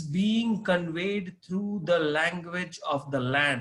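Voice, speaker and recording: Someone with an Indian accent speaks at a very slow pace, using lively intonation. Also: man. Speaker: corporate trainer. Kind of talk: interview. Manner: hesitant, with fillers.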